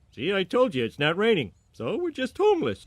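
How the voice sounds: A cartoonish character voice at a middle pitch and a fairly quick pace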